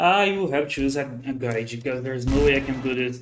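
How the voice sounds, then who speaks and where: A man's voice carries audible room echo. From Brazil. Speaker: vtuber streamer. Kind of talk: gaming livestream commentary. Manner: halting.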